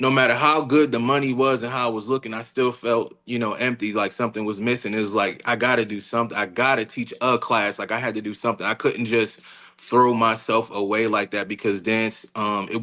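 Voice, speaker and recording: Bright and sharp, a man's medium-pitched voice moves at a moderate pace with hardly any pauses. His intonation stays fairly even. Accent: American. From Newark, New Jersey. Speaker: dance teacher and studio owner. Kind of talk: interview. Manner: many fillers (um, you know).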